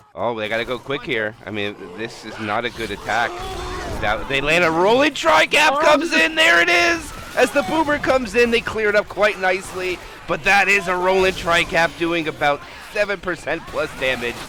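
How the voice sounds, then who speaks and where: There is noticeable background noise behind this man. His pitch is high, it swings very widely, and his pace is moderate. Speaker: esports caster. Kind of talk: live commentary. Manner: animated.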